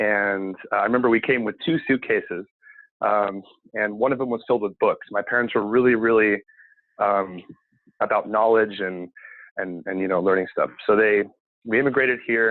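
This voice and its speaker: A man with a West Coast accent speaks in a fairly low pitch. His intonation is fairly even, broken by long, frequent pauses. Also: moderate pace. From Seattle, US Pacific Northwest. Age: 20s. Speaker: cleaning business owner. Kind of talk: podcast interview. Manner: many fillers, hesitant.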